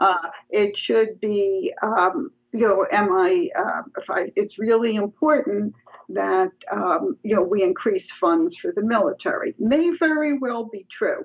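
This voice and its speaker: A woman with a New York accent, fairly high in pitch, at a fairly slow pace with very wide pitch swings. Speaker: psychology professor. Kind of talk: interview.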